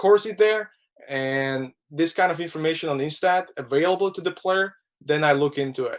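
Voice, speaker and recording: With a non-native accent, the speaker talks at a moderate pace with ordinary pitch variation. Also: man, high pitch for a man. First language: not English. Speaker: hockey scout. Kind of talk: webinar interview. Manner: halting, many repetitions.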